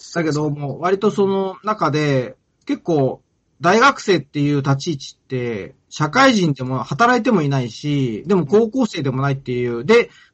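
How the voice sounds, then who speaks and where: Speaking at a moderate pace, a man with a fairly high voice makes very wide pitch swings. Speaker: anime podcast co-host. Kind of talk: casual chat.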